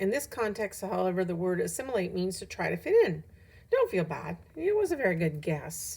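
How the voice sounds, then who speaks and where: Using a raspy, put-on character voice, a woman speaks at a fairly quick pace. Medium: read story.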